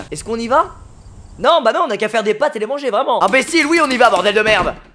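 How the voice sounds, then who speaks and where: A man shouts in a raised, projected voice with an extremely high pitch and a bright, sharp tone. He talks at a very fast pace with lively intonation and big swings in loudness. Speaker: gaming youtuber. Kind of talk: let's play commentary. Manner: animated.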